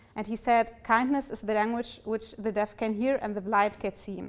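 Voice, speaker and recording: A woman's fairly high, monotone, flat voice with a German accent, at a moderate pace, amid noticeable background noise. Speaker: fellowship participant. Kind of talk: speech. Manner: halting.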